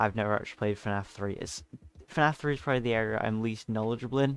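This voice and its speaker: With music in the background, a man talks at a fairly quick pace, his fairly low pitch held in fairly even intonation. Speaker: gaming commentator. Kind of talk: casual monologue. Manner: fast; halting.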